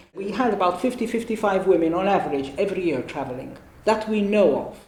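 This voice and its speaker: Talking at a very fast pace, a woman uses lively intonation. Audible room echo surrounds her voice. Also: medium pitch for a woman. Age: 60s. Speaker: gynecologist. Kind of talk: interview. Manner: halting.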